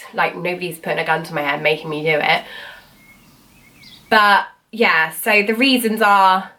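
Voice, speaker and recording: A woman with a British accent speaks at a moderate pace, fairly low in pitch with ordinary pitch variation. She leaves long, frequent pauses. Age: 20s. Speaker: cancer survivor. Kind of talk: casual talk to camera.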